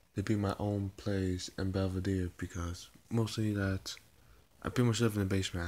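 Soft-spoken and fairly low-pitched, a man talks at a moderate pace with monotone, flat intonation. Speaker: video blogger; vlogger. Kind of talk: casual vlog talk. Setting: at home, mother's place. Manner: soft-spoken, talking quietly; halting, repeats words. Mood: mildly lamenting, relaxed. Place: home room. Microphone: phone near.

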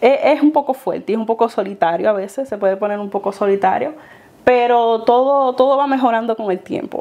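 A dark, mellow voice speaks at a fairly quick pace with ordinary pitch variation. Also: woman, fairly high pitch for a woman. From Puerto Rico, Dominican parents. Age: young. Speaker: former flight attendant, airport gate agent; guest. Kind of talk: interview. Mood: warm, smiling, reflective. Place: home room. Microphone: lapel.

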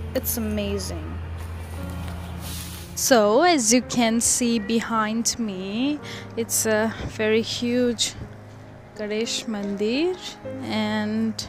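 Clear music plays behind a woman whose voice sounds dry, with no echo. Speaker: vlogger. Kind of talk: casual vlog chat. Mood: happy, admiring. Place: street. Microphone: earbuds.

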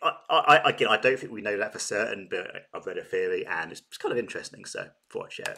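A man with a southern English accent talks at a very fast pace. His loudness swings widely. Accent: British, southern English. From Britain. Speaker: reaction YouTuber. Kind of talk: casual talk to camera. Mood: cheerful, chatty. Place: home room. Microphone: webcam.

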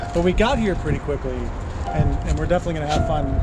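A man speaks over loud background noise. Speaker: vlogger. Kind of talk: casual vlog chat. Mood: cheerful, joking. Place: boat. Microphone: phone near.

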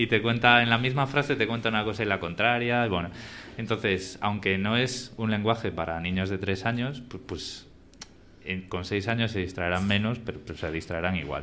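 An unremarkable speaking voice at a moderate pace with ordinary pitch variation, over light background noise. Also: man, fairly low pitch for a man. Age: 30s. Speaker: podcast host. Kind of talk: live podcast conversation. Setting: live event with audience. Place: hall.

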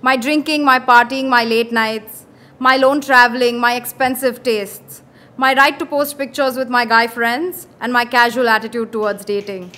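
Speaking at a moderate pace, a woman uses a high pitch and a bright, sharp tone with fairly even intonation. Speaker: spoken word poet. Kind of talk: spoken word poetry, a performed poem with a pointed, defiant, accusatory delivery. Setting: stage with audience at an open mic in a pub. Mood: earnest, defiant. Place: bar. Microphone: handheld.

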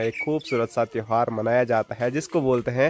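Over light background noise, a man speaks at a moderate pace. His intonation is fairly even. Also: dry sound with no echo. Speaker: village vlogger. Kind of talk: casual vlog chat. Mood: cheerful, smiling. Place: street. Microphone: phone near.

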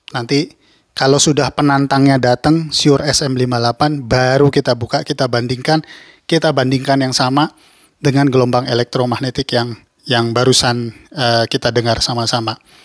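The man's delivery is monotone and flat, with very even loudness and a dry, close sound with no echo, captured in a very clean recording against a silent background. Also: medium pitch for a man, moderate pace. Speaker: YouTuber reviewing audio gear. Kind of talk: tutorial.

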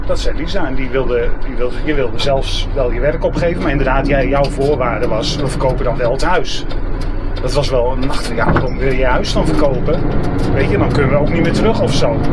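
Loud background noise under a man speaking at a fairly quick pace. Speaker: interviewee. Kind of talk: interview answer. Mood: reflective, personal story. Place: bus. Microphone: camera far.

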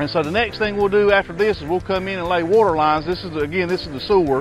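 Clear music sits in the background while a man with a Southern US accent speaks in a high pitch with ordinary pitch variation, the sound dry with no echo. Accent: Southern US drawl. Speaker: asphalt construction company representative. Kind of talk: informal site walkthrough to camera. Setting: outdoors. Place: open country.

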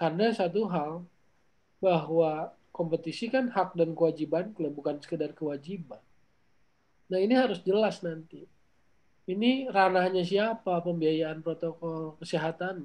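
A man talks at a fairly slow pace. His voice sits high, with ordinary pitch variation. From Indonesia. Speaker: football commentator. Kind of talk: panel discussion. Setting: video call. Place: home room. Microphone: video call.

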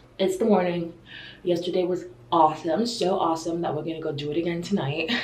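With audible room echo around her, a woman speaks at a fairly quick pace in a fairly low pitch and with fairly even intonation. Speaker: vlogger. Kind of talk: casual vlog chat. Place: bathroom. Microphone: phone near.

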